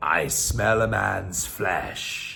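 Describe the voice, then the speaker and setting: A man's raspy, put-on character voice, very deep and low in pitch. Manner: menacing, theatrical.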